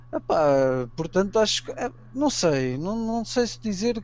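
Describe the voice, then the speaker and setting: A man's high pitch with very wide swings, over noticeable background noise. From Portugal. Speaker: amateur archaeology enthusiast. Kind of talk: interview.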